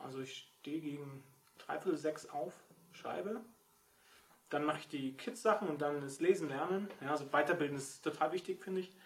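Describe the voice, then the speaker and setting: Noticeable background noise sits under a man's fairly high voice. He keeps a moderate pace with ordinary pitch variation. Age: 40s. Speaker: novelist. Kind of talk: casual chat.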